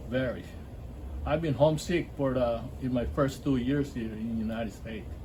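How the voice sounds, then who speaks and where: Audible room echo surrounds a man speaking fairly quickly in a medium pitch with ordinary pitch variation. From Philippines, Cavite City. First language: Filipino (Tagalog). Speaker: army veteran, basketball league founder. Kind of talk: interview. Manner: casual, halting.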